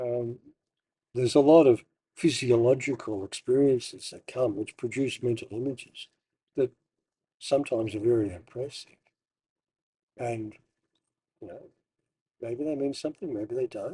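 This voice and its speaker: Somewhat breathy and dark, mellow in tone, a man speaks at a moderate pace and medium pitch with ordinary pitch variation, big swings in loudness, and long, frequent pauses, in a dry, close sound with no echo. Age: 60s. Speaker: meditation teacher. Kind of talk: personal monologue. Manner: halting.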